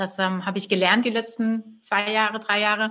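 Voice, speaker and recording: A woman with a normal speaking voice talks fairly quickly in a medium pitch with fairly even intonation. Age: 30s. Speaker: entrepreneur, web and branding agency owner. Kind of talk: interview.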